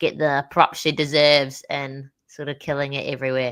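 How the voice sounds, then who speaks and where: A woman in a New Zealand accent speaks at a moderate pace with a very deep, low pitch. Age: young. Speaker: stand-up comedian. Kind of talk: interview answer. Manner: upbeat.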